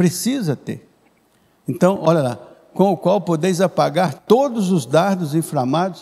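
His voice high for a man yet dark and mellow in tone, a man speaks fairly slowly with lively intonation. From Brazil. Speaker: pastor. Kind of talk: sermon. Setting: church service, streamed online. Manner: warm, explanatory teacher-like pacing with repetitions and self-corrections. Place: church. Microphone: handheld.

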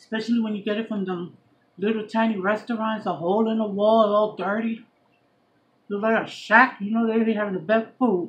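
A woman's fairly high voice comes through somewhat breathy. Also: fairly quick pace. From New York, Puerto Rican background. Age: 40s. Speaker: YouTube vlogger. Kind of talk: casual mukbang chat to camera. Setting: eating on camera at home. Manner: animated; chatty. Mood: relaxed, chatty. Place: home room. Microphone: phone near.

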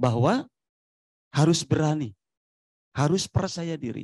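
A man's dark, mellow tone at a fairly slow pace, with ordinary pitch variation, a dry sound with no echo and a quiet background. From Majalengka, West Java; West Java. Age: 40s. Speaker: local government official. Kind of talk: panel discussion. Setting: forum with live audience. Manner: animated. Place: hall. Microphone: handheld.

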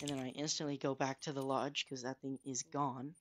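The voice is quiet, with noticeable background noise behind it. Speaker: gaming youtuber; gamer narrator. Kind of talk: gameplay voiceover narration. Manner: hushed, trying to be quiet; casual, filler-heavy.

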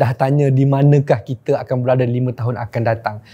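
The tone is dark and mellow, somewhat breathy. The pace is fairly quick. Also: man. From Malaysia. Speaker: careers show host. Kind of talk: solo tutorial video. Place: studio. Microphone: lapel.

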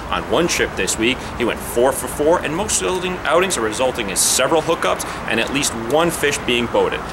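Lively intonation at a fairly quick pace, with clear background noise. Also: man, medium pitch for a man.

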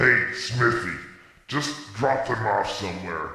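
There is a clear echo as a man speaks at a fairly slow pace. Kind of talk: comic host banter. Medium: machinima. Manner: smug, chatty, showbiz patter.

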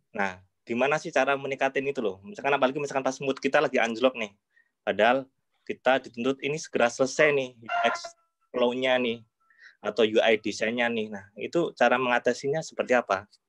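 A man talking at a very fast pace with ordinary pitch variation against a quiet background. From Yogyakarta, Indonesia. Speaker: audience member asking a question. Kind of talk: audience question. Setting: video call. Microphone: video call.

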